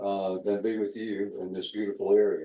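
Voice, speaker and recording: This man has a Southern US accent. His pace is moderate. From South Carolina. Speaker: museum docent. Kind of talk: panel introduction. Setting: rooftop deck with audience.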